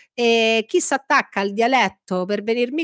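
Lively intonation comes at a moderate pace, with a dry sound that has no echo and a quiet background. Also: woman. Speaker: political commentary streamer. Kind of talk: live stream chat. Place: home room. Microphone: studio mic.

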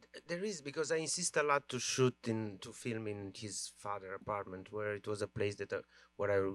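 With a Romanian accent, a man speaks at a fairly quick pace in a fairly low pitch, the sound dry with no echo. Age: 40s. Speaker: film director; guest. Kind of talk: Q&A discussion. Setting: stage with audience. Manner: halting. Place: stage. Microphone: handheld.

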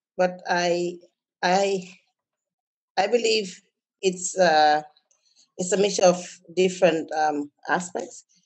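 Very slow speech from a woman, broken by long, frequent pauses. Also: ordinary pitch variation, quiet background. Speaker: banker panelist; panelist. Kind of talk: panel discussion. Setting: video call webinar. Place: home room. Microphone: video call.

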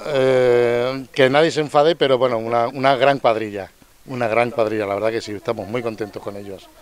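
An ordinary speaking voice from a man, medium in pitch with ordinary pitch variation, at a fairly quick pace, with big swings in loudness and a dry sound with no echo. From Melilla, North Africa (Spain); Spain. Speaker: resident; interviewee. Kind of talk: interview; interview answer. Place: street. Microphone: handheld.

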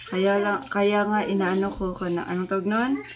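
Over noticeable background noise, a woman speaks in a monotone, flat intonation at a fairly slow pace. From Philippines, Cebu; Philippines. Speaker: family vlogger. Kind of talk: vlog talk to camera.

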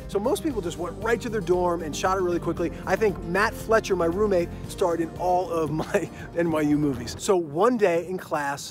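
Clear music plays behind a man speaking at high pitch with ordinary pitch variation. He leaves hardly any pauses, and the sound is dry with no echo. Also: moderate pace. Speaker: screenwriting coach. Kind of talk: casual promotional story. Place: open country. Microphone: phone near.

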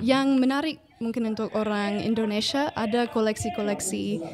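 A woman with an English accent speaks at a moderate pace with hardly any pauses and a fairly high pitch. Noticeable background noise is present. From United States. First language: English (speaking Indonesian). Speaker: ethnomusicology researcher. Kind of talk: interview. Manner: hesitant.

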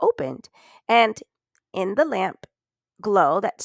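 The voice reads in an unforced way with lively intonation. The background is quiet.

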